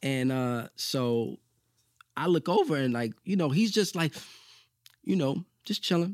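A man with a New York accent talks at a fairly slow pace with long, frequent pauses, in a dry, close sound with no echo on a very clean recording with a silent background. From New York, Brooklyn (Bushwick). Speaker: actor. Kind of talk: casual chat.

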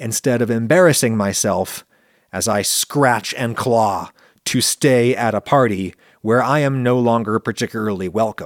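Recorded very cleanly against a silent background, with a dry, close sound and no echo, a man in a normal speaking voice talks at a moderate pace and medium pitch with ordinary pitch variation. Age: 40s. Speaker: food science YouTuber and podcast host. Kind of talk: casual monologue answering listener questions.

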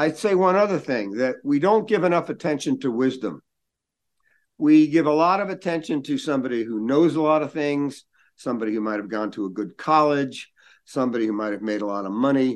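A man talks at a fairly quick pace with very wide pitch swings over a quiet background. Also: fairly high pitch for a man. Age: 70s. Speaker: gerontology expert and author. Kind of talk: interview.

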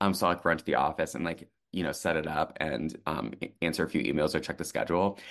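A man with a very deep, low pitch, vocal fry, ordinary pitch variation and a very fast pace against a quiet background. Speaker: therapy podcast co-host, social worker and therapist. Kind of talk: casual chat.

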